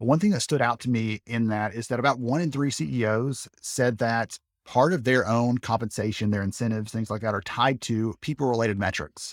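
A man in an ordinary speaking voice talks at a moderate pace with a medium pitch, ordinary pitch variation and hardly any pauses. The sound is dry and close with no echo, on a very clean recording with a silent background. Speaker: podcast host. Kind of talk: interview.

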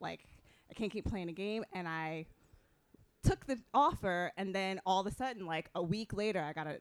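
An unremarkable speaking voice goes at a fairly quick pace. Its pitch varies in an ordinary way. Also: woman. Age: 40s. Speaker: fashion stylist and consultant. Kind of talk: panel discussion.

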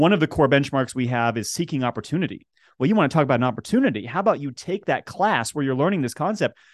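Very fast and fairly high-pitched, a man with an American accent speaks in a dry, close sound with no echo over a quiet background. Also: lively intonation. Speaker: school entrepreneurship director, former English teacher. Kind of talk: interview. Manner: animated.

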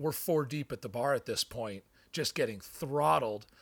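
A man speaks with lively intonation and a touch of vocal fry. The recording is very clean, with a silent background. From Hawaii. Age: 30s. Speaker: restaurant server. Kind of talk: casual interview.

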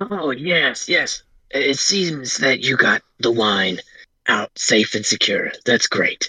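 A man's put-on character voice, raspy and fairly high-pitched, at a very slow pace. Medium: actual play. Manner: warm, eager to please.

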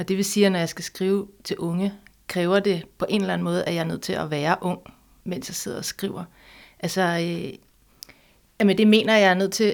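This is an unremarkable speaking voice from a woman, medium in pitch with fairly even intonation at a moderate pace. The recording is very clean, with a silent background. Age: 40s. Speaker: author. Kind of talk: interview conversation.

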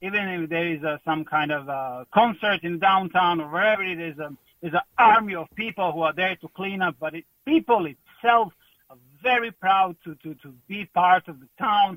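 Speaking with a Croatian accent, a man uses a high pitch, a bright, sharp tone and ordinary pitch variation. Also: dry, close sound with no echo.

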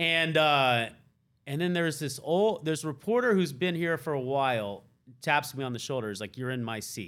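On a very clean recording with a silent background, a man with an unremarkable speaking voice and fairly high pitch talks at a moderate pace with lively intonation. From US South. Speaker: NFL beat reporter. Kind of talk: casual chat. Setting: studio.

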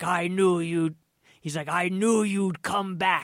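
A put-on character voice at middle pitch, with monotone, flat intonation. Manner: eerie, spooky.

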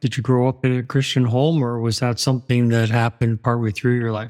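A man with an ordinary speaking voice talks at a fairly quick pace and medium pitch. The recording is very clean, with a silent background. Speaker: radio host. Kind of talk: interview.

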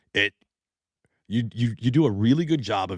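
A man with an American accent uses an ordinary speaking voice at a moderate pace with lively intonation, recorded very cleanly with a silent background and a dry, close sound with no echo. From US Pacific Northwest. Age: 30s. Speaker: podcast co-host. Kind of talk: casual chat. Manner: profane, joking.

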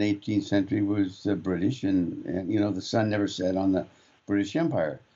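A man with a normal speaking voice. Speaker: radio co-host. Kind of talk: casual talk radio. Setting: studio.

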